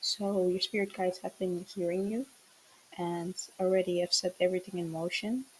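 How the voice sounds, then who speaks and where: At a moderate pace, a woman speaks with a medium pitch. Her voice is somewhat breathy. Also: fairly even intonation. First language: not English. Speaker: tarot reader, spiritual channeler. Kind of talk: channeled tarot message. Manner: hesitant, many fillers.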